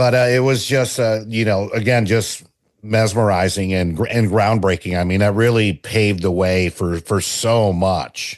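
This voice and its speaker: Against a quiet background, a man talks at a moderate pace in a fairly low voice, keeping very even loudness and fairly even intonation. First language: not English. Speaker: podcast host. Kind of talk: casual chat.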